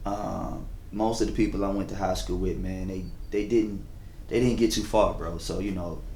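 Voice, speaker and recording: A man with an American accent in a monotone, flat intonation, with audible room echo. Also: fairly low pitch for a man, moderate pace. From US South, Chesapeake, Virginia. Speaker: event coordinator. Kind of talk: casual interview.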